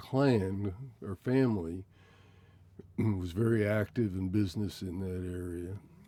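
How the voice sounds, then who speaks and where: A man talks at a very slow pace in a dark, mellow tone. His pitch variation is ordinary. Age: 70s. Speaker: interviewee recalling family history. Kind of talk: oral history interview.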